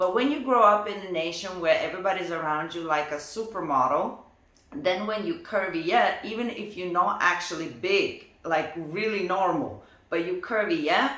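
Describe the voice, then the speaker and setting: A woman with a Lithuanian accent talks at a moderate pace and medium pitch, with audible room echo and noticeable background noise. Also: lively intonation. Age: 30s. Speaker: professional dancer. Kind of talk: personal vlog. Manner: casual, conversational.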